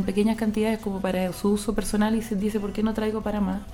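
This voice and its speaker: Over noticeable background noise, a woman with a fairly high pitch talks at a very fast pace in a monotone, flat intonation. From Chile. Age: 30s. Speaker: import business consultant. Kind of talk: radio interview.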